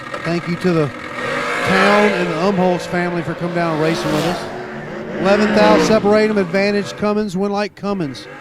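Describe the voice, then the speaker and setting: A man's high voice with ordinary pitch variation and hardly any pauses, amid noticeable background noise. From Mississippi. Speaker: drag racing announcer. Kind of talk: live commentary.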